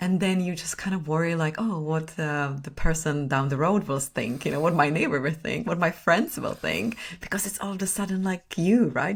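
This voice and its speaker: A woman's fairly low, somewhat breathy voice with a non-native accent, ordinary pitch variation and hardly any pauses. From Czech Republic. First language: Czech. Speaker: personal brand strategist and photographer. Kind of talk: podcast interview.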